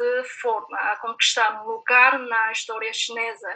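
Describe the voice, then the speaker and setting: The woman's voice sits high in pitch. She talks at a very slow pace. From China. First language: Chinese (speaking Portuguese). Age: young. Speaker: PhD researcher. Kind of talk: roundtable discussion.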